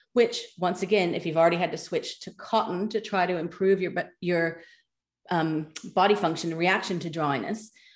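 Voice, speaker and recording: A woman's fairly low voice at a moderate pace, with fairly even intonation and a very clean recording over a silent background. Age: 50s. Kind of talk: casual interview.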